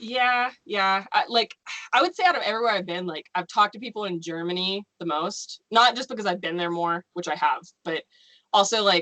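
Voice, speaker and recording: A plain, everyday voice: a woman at a medium pitch with an American accent, ordinary pitch variation and a fairly quick pace, in a dry, close sound with no echo. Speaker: novelist. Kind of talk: casual chat.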